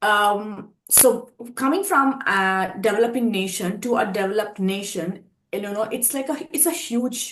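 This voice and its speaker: A woman with an Indian accent speaks at a fairly slow pace with a fairly high pitch. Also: ordinary pitch variation. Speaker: pageant contestant. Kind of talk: interview.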